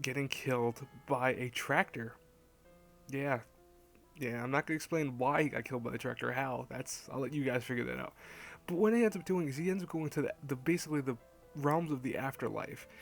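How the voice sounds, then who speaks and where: A quiet voice with lively intonation comes through over music in the background. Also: man. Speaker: anime reviewer. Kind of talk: casual review talk to camera. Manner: quiet, hushed.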